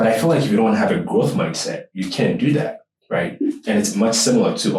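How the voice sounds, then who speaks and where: A man with a Ghanaian accent. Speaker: podcast host. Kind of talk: casual interview chat.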